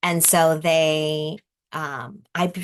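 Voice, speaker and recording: The background is quiet as a woman talks. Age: 60s. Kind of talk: interview answer.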